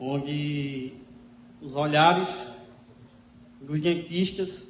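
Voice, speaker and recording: Amid noticeable background noise and audible room echo, a man talks with a fairly high pitch. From Natal, Rio Grande do Norte, Brazil. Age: 30s. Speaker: public speaker sharing life story. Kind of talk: talk to an audience.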